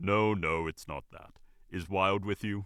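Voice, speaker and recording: A man does a put-on character voice, booming and fairly low in pitch. He talks at a fairly slow pace. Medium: read story. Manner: blunt.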